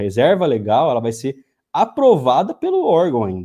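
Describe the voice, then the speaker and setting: A man speaks with a dark, mellow tone at a fairly high pitch. His pace is moderate. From interior of São Paulo state, Brazil. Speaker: rural property lawyer. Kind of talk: live-stream interview.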